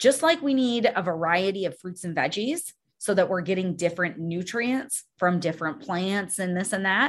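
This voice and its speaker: A woman at medium pitch speaks at a moderate pace with lively intonation over a quiet background. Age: 40s. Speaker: weight loss coach and podcast host. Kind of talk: casual solo podcast talk. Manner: animated.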